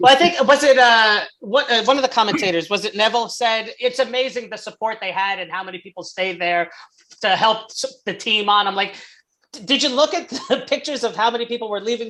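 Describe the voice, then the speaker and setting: Her loudness swings widely as a woman with a normal speaking voice and a fairly high pitch talks at a fairly quick pace. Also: ordinary pitch variation. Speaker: football podcast co-host. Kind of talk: casual chat.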